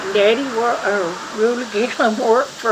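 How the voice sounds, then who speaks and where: Fairly even intonation in an Appalachian accent, with audible room echo and noticeable background noise. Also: woman. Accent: Appalachian Kentucky. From eastern Kentucky. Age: 80s+. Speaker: family elder. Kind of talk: oral history interview. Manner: halting.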